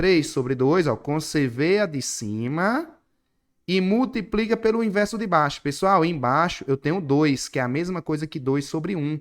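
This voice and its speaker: Here is a man with a fairly high pitch and an animated tone. His intonation is lively. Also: fairly slow pace. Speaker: math teacher. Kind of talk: online class lecture. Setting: online class with screen share.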